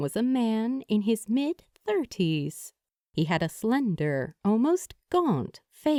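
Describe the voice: The background stays quiet. The voice is plain reading aloud.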